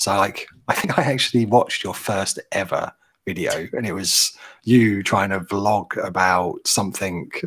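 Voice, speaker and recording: At a moderate pace, this man talks in a British accent. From London, England. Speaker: business strategist. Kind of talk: casual livestream chat. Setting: video call livestream.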